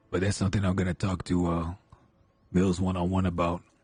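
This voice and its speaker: A man puts on a raspy character voice at a very deep, low pitch. He talks very fast in a monotone, flat intonation. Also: very even loudness. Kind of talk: Western roleplay drawl. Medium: game stream. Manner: measured, scheming.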